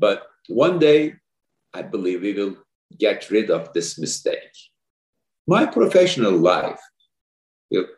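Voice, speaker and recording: A man talks with a Turkish accent. His pace is fairly slow. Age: 50s. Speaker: orthopedic spine surgeon, society president. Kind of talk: interview.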